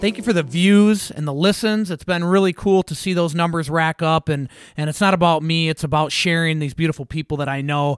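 A man with an ordinary speaking voice talks at a fairly high pitch with ordinary pitch variation, in a dry, close sound with no echo. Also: fairly quick pace. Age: 40s. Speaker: podcast host. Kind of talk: casual interview.

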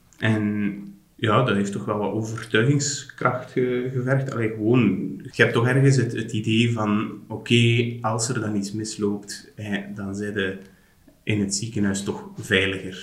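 A man's fairly low voice at a fairly slow pace, fairly even in intonation, with audible room echo and noticeable background noise. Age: 30s. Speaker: general practitioner, father. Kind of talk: casual interview, personal birth story. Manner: halting, with many restarts. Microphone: poor sound quality in recording.

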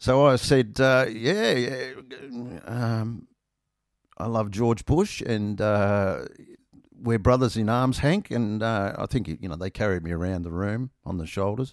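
Over a very clean, silent background, a man with an Australian accent speaks fairly slowly at medium pitch with ordinary pitch variation. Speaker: podcast host, motorcyclist. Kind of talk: casual solo monologue. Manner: rambling, casual, self-deprecating.

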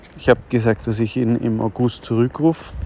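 Background noise can be clearly heard. The pace is moderate. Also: man. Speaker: podcaster. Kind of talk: casual monologue. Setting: outdoors, walking on street. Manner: hesitant, with fillers.

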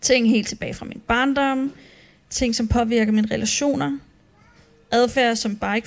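A woman with a fairly high voice talks fairly slowly, her pitch shifting in an ordinary way. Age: 30s. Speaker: church speaker. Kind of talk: sermon.

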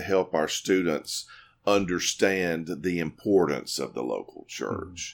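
On a very clean recording with a silent background, a man with a very deep, low pitch speaks at a very slow pace. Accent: Southern US. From US South, Mississippi. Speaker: university president and former pastor. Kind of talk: interview.

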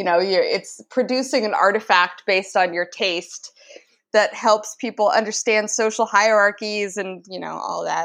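A woman's medium-pitched voice, an ordinary speaking voice, at a moderate pace with fairly even intonation. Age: 20s. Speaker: writer and indie publisher. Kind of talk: casual chat.

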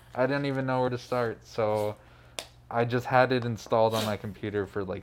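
In a normal speaking voice, a man talks at a moderate pace with fairly even intonation. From Phoenix, Arizona. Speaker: DJ and music producer. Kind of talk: casual interview chat. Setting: studio.

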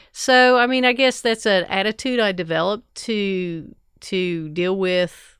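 With an American accent, a woman speaks in a plain, everyday voice at medium pitch with ordinary pitch variation, on a very clean recording with a silent background. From southern Ohio (Ironton). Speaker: fire chief and nurse. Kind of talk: interview. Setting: studio.

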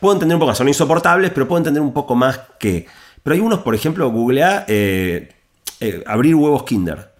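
This voice has very wide pitch swings and a fairly quick pace. It speaks in a Rioplatense accent. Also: man. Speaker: author and technology speaker. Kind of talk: interview.

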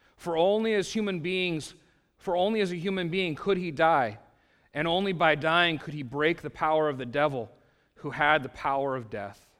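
At a moderate pace, the speech has lively intonation on a very clean recording with a silent background. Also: man, fairly high pitch for a man. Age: 40s. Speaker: pastor. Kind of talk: sermon. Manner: halting.

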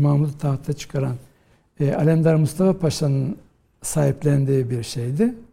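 This man's voice is dark and mellow in tone, somewhat breathy, and fairly high in pitch. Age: 50s. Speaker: historian and professor. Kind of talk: interview.

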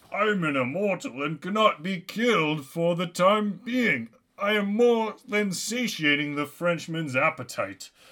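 The unforced reading voice has lively intonation.

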